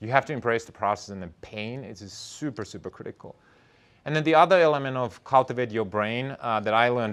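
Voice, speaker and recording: A man with a non-native accent talks at a fairly quick pace with ordinary pitch variation. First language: not English. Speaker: entrepreneur and startup founder. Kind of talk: talk to an audience.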